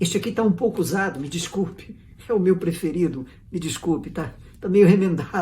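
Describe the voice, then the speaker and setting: With audible room echo, a man speaks at a high pitch using lively intonation. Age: 60s. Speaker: pastor. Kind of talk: sermon. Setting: online church service video.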